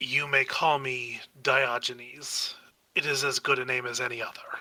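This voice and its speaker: A man puts on a raspy character voice at a medium pitch. He speaks at a moderate pace. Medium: actual play. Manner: archaic, sardonic.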